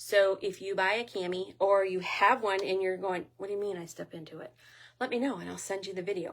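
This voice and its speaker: A woman's unremarkable speaking voice, medium in pitch and fairly quick, with big swings in loudness and ordinary pitch variation, on a very clean recording with a silent background. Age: 60s. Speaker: lingerie sales consultant. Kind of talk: product demonstration. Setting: private party, streamed live with comments. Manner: casual, chatty.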